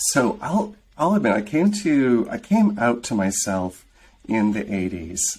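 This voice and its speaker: Speaking at a fairly slow pace, a man with an American accent uses a medium pitch that swings very widely. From US Midwest, rural southeastern Michigan. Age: 50s. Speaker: film creator and director. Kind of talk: interview.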